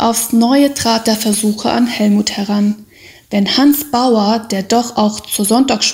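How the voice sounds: Someone reads in a natural reading voice.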